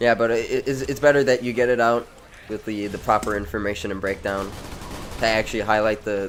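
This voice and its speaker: Noticeable background noise sits behind a man speaking at a fairly quick pace. His medium-pitched voice keeps a fairly even intonation. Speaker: gaming streamer. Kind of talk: live gameplay commentary. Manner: casual, stammering over words.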